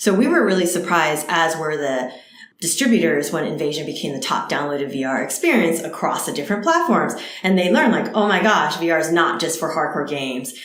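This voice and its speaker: A woman with an American accent speaks very fast at a fairly low pitch. Room echo is audible, and background noise is noticeable. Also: ordinary pitch variation. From US Northeast (New Jersey). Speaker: startup co-founder. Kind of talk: interview.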